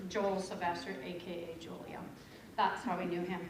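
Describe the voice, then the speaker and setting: A woman talks at a fairly quick pace amid noticeable background noise and audible room echo. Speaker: eulogist at a funeral. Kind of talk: eulogy. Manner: loud.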